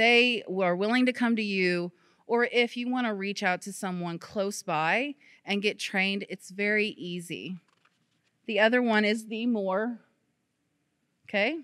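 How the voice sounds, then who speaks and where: A medium-pitched woman with an American accent, fairly slow with long, frequent pauses and ordinary pitch variation, on a very clean recording with a silent background. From Missouri, Poplar Bluff. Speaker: public health educator. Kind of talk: presentation. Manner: casual, conversational.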